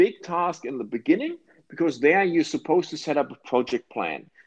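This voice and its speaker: Speaking with a German accent, a man uses a high pitch and lively intonation at a moderate pace. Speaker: project management consultant. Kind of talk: casual chat.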